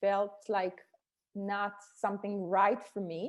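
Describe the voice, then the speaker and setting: With an Israeli accent, a woman speaks at a medium pitch. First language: Hebrew. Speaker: startup co-founder and executive. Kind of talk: podcast interview. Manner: halting, with frequent fillers and restarts.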